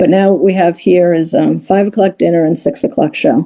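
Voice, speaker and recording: Vocal fry runs through this dark, mellow voice, delivered at a moderate pace with an American accent. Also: woman. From New York, Long Island. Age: 60s. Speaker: comedy show producer. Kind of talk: interview. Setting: live stream.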